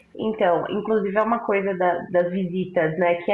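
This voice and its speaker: A woman at a medium pitch and moderate pace, with ordinary pitch variation, audible room echo and noticeable background noise. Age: 20s. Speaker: former prisoner. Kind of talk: interview testimony.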